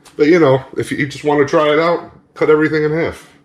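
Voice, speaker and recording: Upbeat in tone, a man talks with a New England accent. His pace is moderate. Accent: Yankee. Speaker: cooking channel host. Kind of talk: tutorial. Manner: casual, upbeat.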